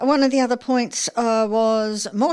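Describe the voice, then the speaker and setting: Speaking at a fairly slow pace, a woman with an Australian accent has a fairly high pitch, captured in a very clean recording with a silent background. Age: 70s. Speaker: community radio host. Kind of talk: radio interview.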